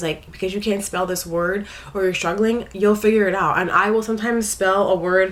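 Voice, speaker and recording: Noticeable background noise runs beneath a woman speaking at a medium pitch. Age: 20s. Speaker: vlogger. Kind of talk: personal vlog. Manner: hesitant, many fillers.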